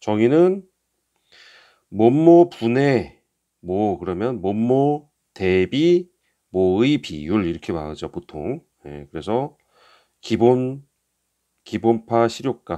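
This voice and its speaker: A man with a dark, mellow tone at a very slow pace, with long, frequent pauses, big swings in loudness and very wide pitch swings. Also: medium pitch for a man. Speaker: exam prep instructor. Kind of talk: lecture.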